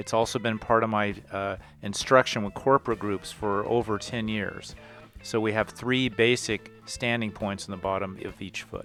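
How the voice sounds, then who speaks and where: Over music in the background, a man speaks in a fairly low, monotone, flat voice at a moderate pace. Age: 60s. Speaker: PE teacher. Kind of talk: tutorial.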